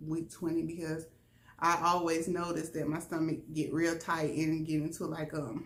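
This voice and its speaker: Moderate-paced speech with audible room echo. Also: woman. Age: middle-aged. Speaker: vlogger. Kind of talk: casual vlog talk.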